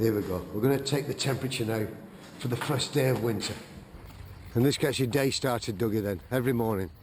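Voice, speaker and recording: A man with an English accent talks at a medium pitch with ordinary pitch variation. His pace is very fast, broken by long, frequent pauses. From England. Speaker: documentary presenter. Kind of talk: vlog narration.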